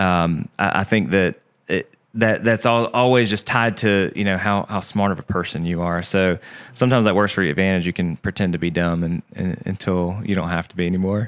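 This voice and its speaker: At a fairly quick pace and with a strong Southern US accent, the speaker shows ordinary pitch variation on a very clean recording with a silent background. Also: man, very deep, low pitch for a man. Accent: Southern accent, strong again after fading. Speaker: podcast guest, insurance agent. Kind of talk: casual interview chat. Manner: halting, many fillers and repeats.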